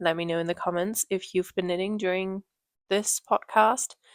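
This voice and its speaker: The sound is dry and close with no echo on a very clean, silent recording, where a woman with a German accent speaks at a medium pitch and fairly even intonation. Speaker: knitting podcaster. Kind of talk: casual podcast monologue.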